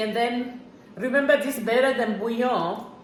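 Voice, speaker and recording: A woman with a high pitch and ordinary pitch variation is heard amid noticeable background noise and audible room echo. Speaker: home cook, cooking channel host. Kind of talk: cooking tutorial. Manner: halting, with fillers and repetitions.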